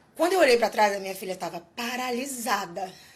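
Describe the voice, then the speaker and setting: A woman speaks at a fairly high pitch, with noticeable background noise behind her. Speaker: singer. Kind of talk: testimony. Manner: halting.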